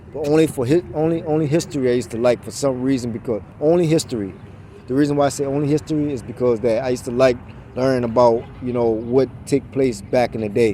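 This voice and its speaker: Noticeable background noise sits under the recording. A man speaks very fast at a medium pitch with ordinary variation. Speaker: motivational vlogger. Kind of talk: casual motivational monologue. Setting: outdoors, walking. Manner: stutters, halting.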